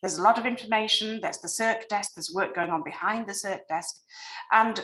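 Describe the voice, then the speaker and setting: Against noticeable background noise, a woman with a British accent speaks at a fairly high pitch. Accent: non-American, British. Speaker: library design consultant. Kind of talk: presentation on video call.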